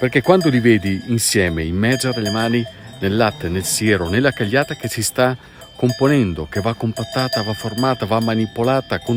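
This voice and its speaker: Over music in the background, a man at medium pitch talks with lively intonation. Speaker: travel and food video host. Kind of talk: documentary voice-over narration.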